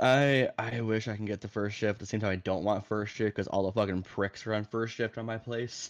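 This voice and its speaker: A man talks in a normal speaking voice at a fairly low pitch and a fairly quick pace. His intonation is fairly even, and he hardly pauses. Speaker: friend guest, works a job. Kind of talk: casual chat. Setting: voice chat call.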